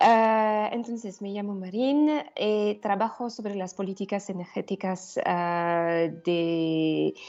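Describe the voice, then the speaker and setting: A woman at a medium pitch, speaking at a very slow pace. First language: not Spanish (speaking Spanish). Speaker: energy policy expert, panelist. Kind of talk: presentation. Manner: halting.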